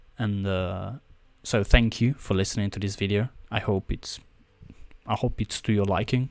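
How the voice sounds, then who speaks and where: In a very clean recording with a silent background, a man with a non-native accent speaks fairly low and fairly slowly, with fairly even intonation and long, frequent pauses. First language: not English. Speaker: esports video analyst. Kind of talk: game review commentary.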